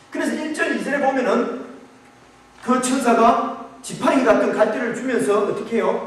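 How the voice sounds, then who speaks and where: Fairly slow speech in a Gyeongsang accent, with noticeable background noise and audible room echo. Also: man. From Gyeongsang region, Korea. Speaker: pastor. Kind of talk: sermon. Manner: halting.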